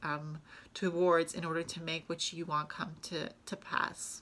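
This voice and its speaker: With a bright, sharp tone, a woman speaks on a very clean recording with a silent background. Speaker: tarot reader. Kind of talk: tarot reading monologue. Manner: halting, many fillers.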